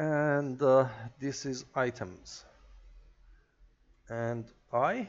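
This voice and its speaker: A man of medium pitch speaks at a very slow pace with ordinary pitch variation. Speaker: programming tutorial maker. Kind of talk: tutorial. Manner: halting, many filler words.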